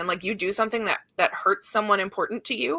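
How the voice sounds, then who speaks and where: A woman's voice comes through loud. Her tone is bright and sharp. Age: 30s. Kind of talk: casual chat.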